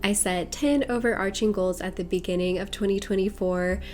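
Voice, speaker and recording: Music plays in the background as a woman speaks. Her tone is calm and her pitch medium. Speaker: bullet journal creator. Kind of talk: voice-over tutorial narration. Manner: calm, cozy.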